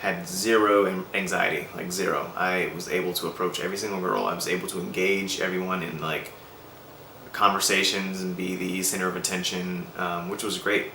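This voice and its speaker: A man speaks fairly quickly in a very deep, low voice with monotone, flat intonation. Audible room echo and noticeable background noise surround him. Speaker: vlogger sharing personal progress. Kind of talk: personal video diary. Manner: hesitant, many fillers.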